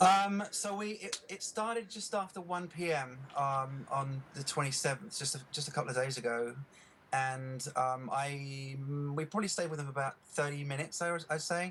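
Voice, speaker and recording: A man speaks with an English accent. His pitch variation is ordinary. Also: fairly high pitch for a man, moderate pace. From England. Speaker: eyewitness interviewee. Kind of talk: news interview. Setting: Skype video call. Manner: halting, many fillers.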